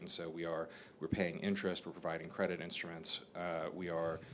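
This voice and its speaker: A man with an American accent speaks at a very deep, low pitch, with audible room echo. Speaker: bank chief executive. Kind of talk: panel discussion. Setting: stage with audience.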